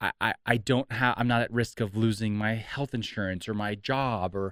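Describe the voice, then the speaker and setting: A man with a Californian accent and medium pitch speaks at a moderate pace with fairly even intonation, in a very clean recording with a silent background and a dry, close sound with no echo. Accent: General American (Californian). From Southern California. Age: 30s. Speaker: entrepreneur and mental health advocate. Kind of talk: podcast interview, personal testimony. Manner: halting, many repeated words.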